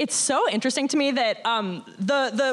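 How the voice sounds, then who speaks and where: Over noticeable background noise, a woman talks in an animated, energetic tone. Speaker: former Survivor contestant. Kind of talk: casual live chat on stage. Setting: stage with audience.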